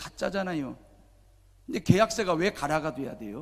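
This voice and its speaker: Using vocal fry, a man speaks at a moderate pace with a fairly high pitch and lively intonation. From South Korea, Jeolla region. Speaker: pastor. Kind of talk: sermon.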